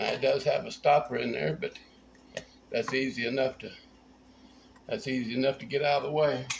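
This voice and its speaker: Through noticeable background noise, a man with a Tennessee accent talks at a fairly quick pace broken by long, frequent pauses. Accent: Southern US (Tennessee). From US South, north central Tennessee. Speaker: home cook. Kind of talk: cooking tutorial. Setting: home kitchen. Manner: casual, folksy.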